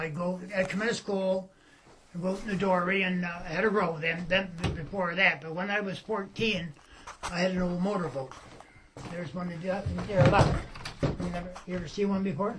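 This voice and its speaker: This man has a high voice and talks at a fairly quick pace with fairly even intonation. Room echo is audible, and background noise is noticeable. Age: 70s. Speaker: fisherman. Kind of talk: interview. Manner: halting.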